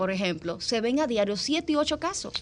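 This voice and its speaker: A woman with a fairly high pitch talks at a moderate pace, her pitch swinging very widely. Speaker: dermatologist. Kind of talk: radio interview.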